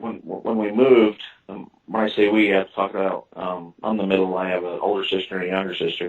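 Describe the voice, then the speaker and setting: At a moderate pace, a man speaks with a slight southern Illinois accent. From US Midwest, southern Illinois. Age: 40s. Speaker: author and witness. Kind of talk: interview. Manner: halting.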